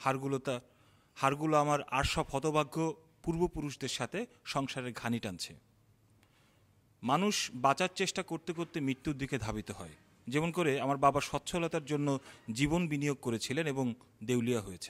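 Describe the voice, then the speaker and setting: Recorded very cleanly with a silent background and a dry, close sound with no echo, a man speaks at a fairly high pitch with ordinary pitch variation. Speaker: poet, filmmaker and theatre activist. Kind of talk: slam poetry performance. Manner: emotional.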